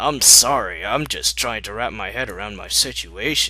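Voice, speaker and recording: Using a put-on character voice, a man speaks in a raspy tone at a moderate pace. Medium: read story.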